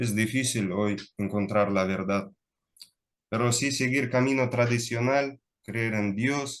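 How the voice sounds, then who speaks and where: Very slow and marked by long, frequent pauses, a man's medium-pitched voice keeps a fairly even intonation. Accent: non-native. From Russia. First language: Russian (speaking Spanish). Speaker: lecturer, speaker. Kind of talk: Q&A after a lecture. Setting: online video call. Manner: halting, many fillers.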